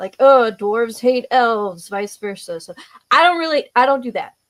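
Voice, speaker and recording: A woman with an American accent, lively intonation, and a moderate pace on a very clean recording with a silent background. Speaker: tabletop game master. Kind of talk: casual, conversational.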